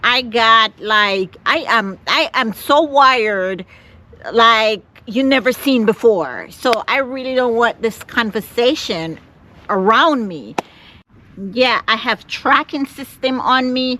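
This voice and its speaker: A woman speaks very slowly in a Jamaican accent at a high pitch. Her tone is bright and sharp, with ordinary pitch variation. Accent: Caribbean, Jamaican. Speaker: van-life vlogger. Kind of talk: casual vlog talk to camera. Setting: outdoors, parked car spot near Las Vegas. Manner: halting, repeats words.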